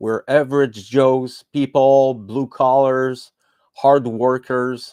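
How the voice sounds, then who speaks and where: Very slowly and in a flat monotone, a man talks with a dark, mellow tone at medium pitch. The sound is dry and close, with no echo. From Quebec. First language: French. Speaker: podcast host. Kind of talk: podcast monologue. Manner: halting, many fillers and restarts.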